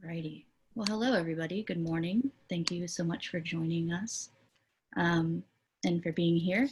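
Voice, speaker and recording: A somewhat breathy woman at a fairly low pitch, with ordinary pitch variation and a moderate pace. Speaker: community organization director and presenter. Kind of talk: online presentation.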